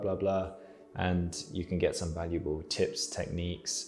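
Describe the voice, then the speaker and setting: A man with a British accent speaks at a moderate pace. Music plays in the background. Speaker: artist and YouTuber. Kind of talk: casual vlog advice. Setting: home art studio. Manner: hesitant, many fillers; mumbling.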